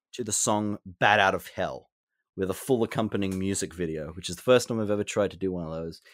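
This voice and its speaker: Talking very fast in an Australian accent, a man with a fairly low pitch and ordinary pitch variation makes big swings in loudness, on a very clean recording with a silent background. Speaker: game reviewer and collector. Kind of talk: casual interview chat.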